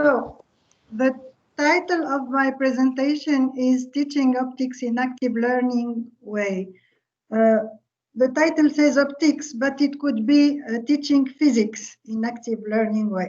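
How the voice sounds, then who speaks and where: A woman speaks at a high pitch with ordinary pitch variation. Her pace is fairly slow. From Tunisia. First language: Arabic. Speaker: physics professor. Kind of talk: lecture. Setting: online video call. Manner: halting. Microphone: video call.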